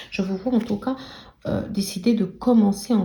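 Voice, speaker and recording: Over noticeable background noise, a soft-spoken woman talks at a medium pitch with fairly even intonation. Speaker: tarot card reader. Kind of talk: tarot reading. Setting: live video recording. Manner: speaks very softly.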